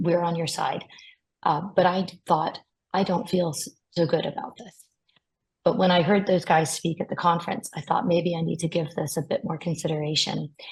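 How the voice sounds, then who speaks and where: The voice is somewhat breathy. It moves at a moderate pace with fairly even intonation. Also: woman, fairly low pitch for a woman. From US. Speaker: patient advocate. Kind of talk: webinar testimony.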